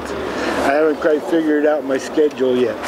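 With noticeable background noise behind him, a man with an American accent speaks at a moderate pace. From Seattle, Washington. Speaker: street newspaper vendor. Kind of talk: interview answer. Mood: warm, a bit wistful. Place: street.

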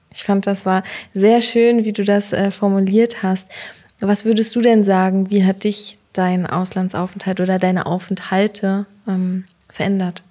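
A woman speaks at a fairly slow pace with monotone, flat intonation and a dark, mellow tone. The background is quiet. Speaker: podcast host. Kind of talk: interview. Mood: warm, smiling. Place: office. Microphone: studio mic.

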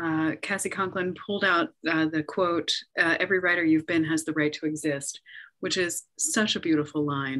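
At a moderate pace, a woman with a fairly low pitch speaks in a normal speaking voice with fairly even intonation against a quiet background. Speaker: festival host and moderator; festival host, moderator. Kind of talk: welcome and Q&A moderating. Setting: video call, online festival. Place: office. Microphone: video call.

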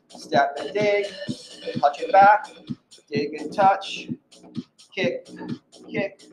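A man with a high pitch talks at a very slow pace with lively intonation and big swings in loudness. Music plays in the background. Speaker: fitness instructor. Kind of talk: workout cueing. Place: gym. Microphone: camera far.

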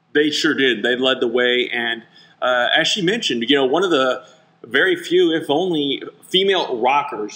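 At a fairly quick pace, a man talks in a plain, everyday voice with ordinary pitch variation. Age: 40s. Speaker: TV reporter and podcast host. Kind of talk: interview; show intro and outro.

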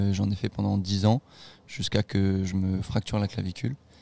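A man's voice comes through dry and close with no echo, on a very clean recording with a silent background. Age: 20s. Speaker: student and documentary maker. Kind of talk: interview. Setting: on site at the race.

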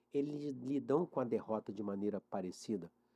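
Lively intonation marks this man's speech, delivered at a moderate pace in a medium pitch with a dark, mellow tone. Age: 50s. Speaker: mental coach for athletes. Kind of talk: interview. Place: studio. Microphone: studio mic.

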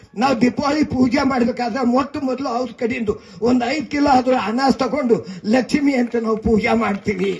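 Over noticeable background noise, a man with an extremely high-pitched voice speaks with fairly even intonation. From Bidar district, North Karnataka. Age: 90s. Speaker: veteran journalist and newspaper editor. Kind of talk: public speech.

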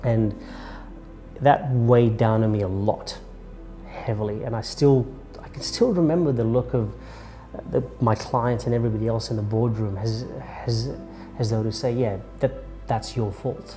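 A man at a moderate pace with fairly even intonation and long, frequent pauses, faint music in the background. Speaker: public speaking coach. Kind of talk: interview answer. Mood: reflective, candid. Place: office.

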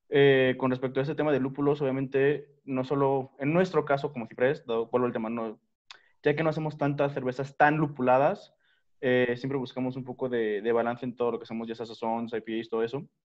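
Against a quiet background, a man speaks in a normal speaking voice at a medium pitch with fairly even intonation. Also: fairly quick pace. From Mexico City. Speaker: craft brewery founder and head brewer. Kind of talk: panel discussion. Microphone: video call.

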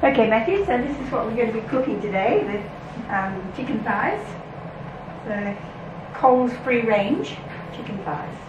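A woman speaks with long, frequent pauses. Noticeable background noise runs underneath. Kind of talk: casual instructional chat. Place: home room. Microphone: camera far.

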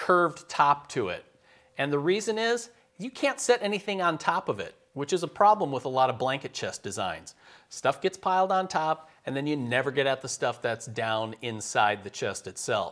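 A man is talking at a moderate pace. Nothing much is heard behind him, as the background is quiet. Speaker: woodworking show host. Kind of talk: tutorial. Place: workshop. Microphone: lapel.

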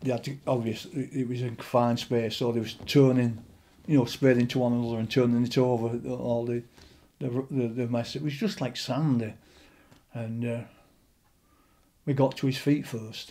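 At a moderate pace with long, frequent pauses, a man speaks in a monotone with flat intonation and a dark, mellow tone. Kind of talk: interview answer. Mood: solemn recollection of fatal accident. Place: home room.

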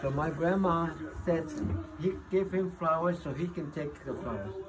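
Noticeable noise runs behind a man as he talks. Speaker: great-grandfather. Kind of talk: casual family talk, giving advice to a child. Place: home room. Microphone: phone near.

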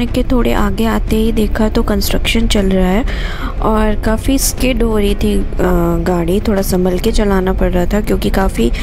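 Music in the background and a fairly slow pace. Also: woman. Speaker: travel vlogger. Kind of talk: travel vlog narration.

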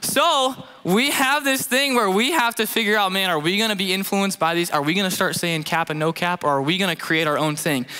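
With a raised, projected voice, a man moves at a fairly quick pace through very wide pitch swings. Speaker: youth pastor preaching. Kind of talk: sermon. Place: stage. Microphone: headset.

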